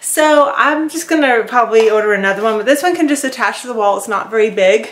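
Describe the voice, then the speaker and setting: A woman at a very fast pace, with lively intonation. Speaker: garden vlogger. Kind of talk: casual vlog chat. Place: garden.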